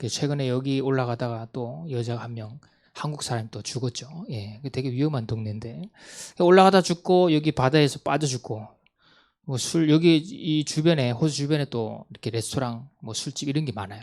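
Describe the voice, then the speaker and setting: A man at a medium pitch and moderate pace, with ordinary pitch variation and big swings in loudness, on a very clean recording with a silent background. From Gangwon Province, South Korea (Gangneung). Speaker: missionary. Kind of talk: mission report talk.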